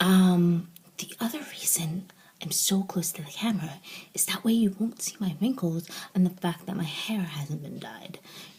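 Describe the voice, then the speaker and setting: Whispering quietly at a moderate pace, a woman's voice shows big swings in loudness over noticeable background noise. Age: 40s. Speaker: author and blogger. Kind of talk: casual vlog. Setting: home office, vlog to camera. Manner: quiet, near-whispering.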